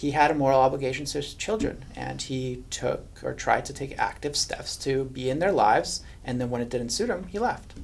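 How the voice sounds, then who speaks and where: A man with a Hungarian accent, hardly any pauses. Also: moderate pace. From Hungary. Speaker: estate litigation lawyer. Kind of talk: podcast interview.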